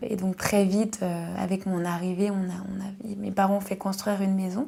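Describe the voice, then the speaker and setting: Over noticeable background noise, a woman talks at a fairly quick pace, medium in pitch, with monotone, flat intonation. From Paris region, France. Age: 20s. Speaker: specialized educator. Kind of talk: testimony. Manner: halting, with frequent hesitations.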